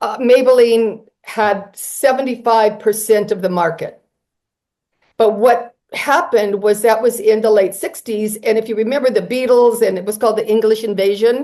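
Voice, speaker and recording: A woman with an American accent talks at a moderate pace and a fairly high pitch. Her tone is dark and mellow, her intonation fairly even. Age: 70s. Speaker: author and heir of a cosmetics family. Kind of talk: interview.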